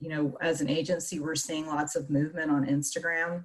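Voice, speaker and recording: A woman speaks at a moderate pace in a very deep, low voice that is somewhat breathy. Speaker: marketing agency owner. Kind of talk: webinar presentation.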